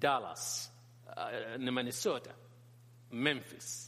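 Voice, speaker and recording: A man speaks at a medium pitch with a bright, sharp tone, a Sudanese accent and ordinary pitch variation. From northern Sudan. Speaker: pastor and teacher on Islam. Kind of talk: talk or lecture to a church audience. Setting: church hall with audience. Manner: halting, repeats words.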